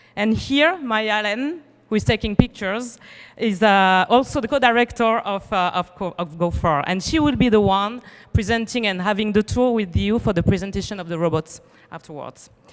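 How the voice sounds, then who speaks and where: With a French accent, a woman talks at a moderate pace and medium pitch, her intonation lively. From France. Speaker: event organizer. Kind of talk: welcome speech read aloud. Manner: reading from script.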